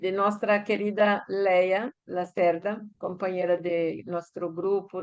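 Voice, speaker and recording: A woman at medium pitch, very slow and monotone, her intonation flat throughout. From Brazil. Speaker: academic panelist. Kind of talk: panel talk. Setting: conference panel, livestreamed. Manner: halting, many hesitations.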